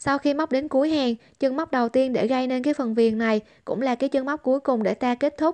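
Talking at a very fast pace, a woman with a high pitch and ordinary pitch variation sounds dry and close with no echo against a quiet background. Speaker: crochet tutorial maker. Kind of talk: tutorial.

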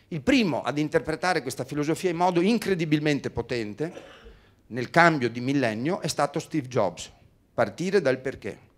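The man's voice sits fairly high in pitch. His intonation is lively and his pace moderate. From Veneto, Italy (Treviso); Veneto, Italy. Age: 50s. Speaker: motivational speaker and communication trainer; motivational speaker, communication trainer. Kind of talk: seminar talk. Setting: stage with audience. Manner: animated. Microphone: handheld.

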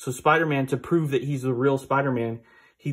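An unforced reading voice is what the recording holds.

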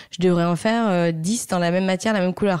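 A woman's dark, mellow tone with fairly even intonation, in a very clean recording against a silent background. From Belgium, Brussels. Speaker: fashion brand founder. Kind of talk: interview.

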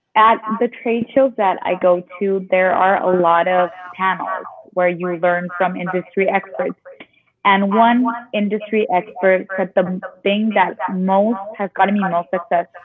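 Noticeable background noise runs under a woman speaking fairly slowly at medium pitch with fairly even intonation. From Mexico (Tijuana); Mexico. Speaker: online boutique owner; guest. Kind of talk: interview. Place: office. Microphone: video call.

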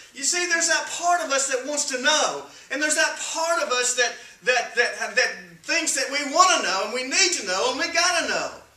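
A man with an extremely high pitch and a bright, sharp tone speaks at a moderate pace with lively intonation, amid strong room echo.

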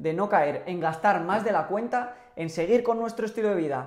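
Pitch moves in an ordinary way. The words come at a fairly quick pace. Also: man.

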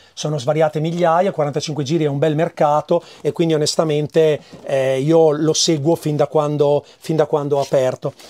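Over a quiet background, a man speaks in a dark, mellow tone. His pace is moderate and his intonation fairly even. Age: 50s. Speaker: record shop owner. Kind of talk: casual interview, shop tour. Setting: in his record shop. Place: shop. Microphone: lapel.

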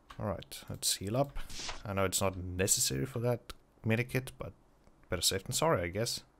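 Lively intonation and vocal fry at a fairly quick pace, broken by long, frequent pauses. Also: man, fairly low pitch for a man. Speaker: gaming YouTuber. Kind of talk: gameplay commentary. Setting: at home late at night. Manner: quiet.

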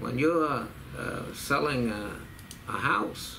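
As this man talks, light background noise can be heard behind him. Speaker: interviewee. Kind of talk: interview answer. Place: office.

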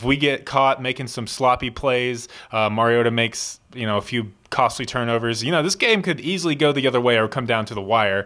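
Against a quiet background, a man talks at a fairly quick pace with ordinary pitch variation and a bright, sharp tone. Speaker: podcast co-host. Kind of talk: casual sports chat. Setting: studio. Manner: animated. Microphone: studio mic.

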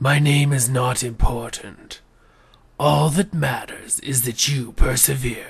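A put-on character voice, raspy and low-to-middle in pitch. It moves at a fairly slow pace. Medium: voice reel. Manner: grave, solemn.

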